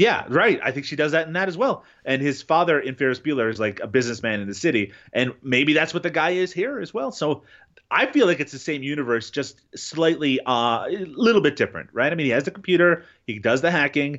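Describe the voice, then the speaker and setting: A normal speaking voice at a fairly quick pace. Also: man, fairly high pitch for a man, lively intonation. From Canada, Newfoundland. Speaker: podcast guest, film fan. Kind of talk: casual chat.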